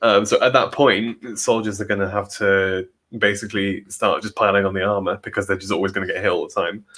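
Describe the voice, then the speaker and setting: The recording is very clean, with a silent background. The speaker talks at a fairly quick pace with an English Midlands accent. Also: man. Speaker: podcast co-host, works in automation. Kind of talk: casual chat. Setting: both in same room, sharing one microphone.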